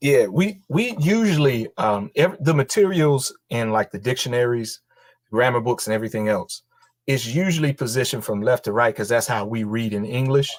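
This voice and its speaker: Moderate pace, lively intonation, a Southern US accent and a dry, close sound with no echo. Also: man, medium pitch for a man. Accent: Southern country. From North Carolina, rural. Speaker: language teacher. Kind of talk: interview. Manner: casual, relaxed.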